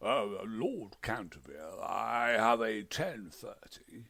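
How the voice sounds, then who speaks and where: In a put-on character voice, a man talks at a very slow pace and a medium pitch. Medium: read story. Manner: formal, put-upon, precise.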